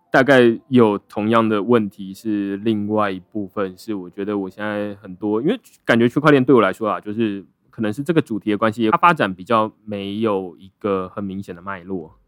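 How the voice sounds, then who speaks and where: Here a man with a fairly low voice talks at a moderate pace with hardly any pauses. His pitch varies in an ordinary way, and the sound is dry and close with no echo. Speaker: blockchain writer and founder. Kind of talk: casual interview chat.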